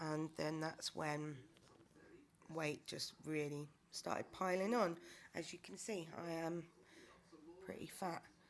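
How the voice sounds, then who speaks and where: A woman speaks at a very slow pace with a very deep, low pitch, ordinary pitch variation, and long, frequent pauses. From UK. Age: 30s. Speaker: vlogger. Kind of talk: personal video diary. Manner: hesitant, with many fillers.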